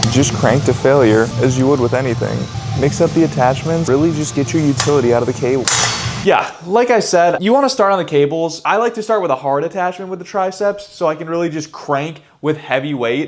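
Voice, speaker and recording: A man talks with lively intonation. Music plays in the background, and room echo is audible. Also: fairly high pitch for a man, fairly quick pace. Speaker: fitness vlogger. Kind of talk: tutorial. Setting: gym. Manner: casual, slangy.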